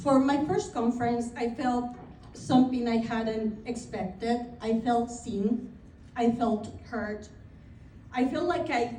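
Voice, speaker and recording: A woman speaks at a fairly slow pace in a high voice, with audible room echo around her. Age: 50s. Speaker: realtor. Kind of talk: speech. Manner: reading from notes.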